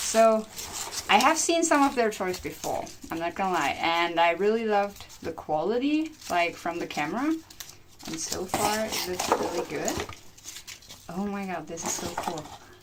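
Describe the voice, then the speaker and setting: Her pitch is medium but swings very widely as this woman speaks at a moderate pace over noticeable background noise. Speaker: vet student and pet bird YouTuber. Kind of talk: product review vlog. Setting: at parents-in-law's house, filmed by boyfriend. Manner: excited, exclamatory.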